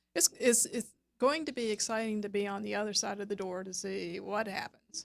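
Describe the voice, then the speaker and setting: A woman with a Southern US accent at a moderate pace, in a dry, close sound with no echo. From US South, South Georgia. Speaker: web designer and business coach. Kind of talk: radio interview.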